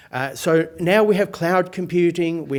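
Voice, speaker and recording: This is a man's voice. He speaks in an Australian accent. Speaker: professor. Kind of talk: lecture. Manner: hesitant, many fillers.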